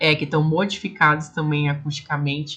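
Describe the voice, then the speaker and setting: At a fairly quick pace, a woman talks with a very deep, low pitch and a bright, sharp tone. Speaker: speech therapist and online course teacher. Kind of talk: online lecture ending in a sales pitch.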